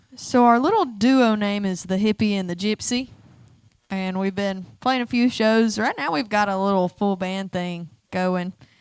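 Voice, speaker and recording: Speaking in an Alabama accent, a woman talks at a moderate pace with a medium pitch. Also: ordinary pitch variation. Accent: Southern US (Alabama). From North Alabama, Ardmore. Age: 20s. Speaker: singer-songwriter. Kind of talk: casual chat. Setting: stage with audience.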